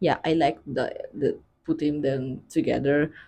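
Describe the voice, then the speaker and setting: A very slow pace marks this speech. Its tone is dark and mellow. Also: woman. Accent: non-native. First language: not English. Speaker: book vlogger. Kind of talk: casual chat. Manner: hesitant, filler-heavy.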